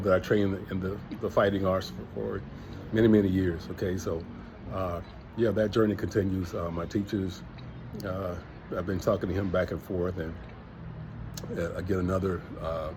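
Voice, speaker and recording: In a relaxed tone, a man talks at a very deep, low pitch and a moderate pace, his intonation fairly even. He leaves long, frequent pauses, and the room echo is audible. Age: 60s. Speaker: travel vlogger, retiree. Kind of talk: casual vlog monologue. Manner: relaxed, conversational with many fillers.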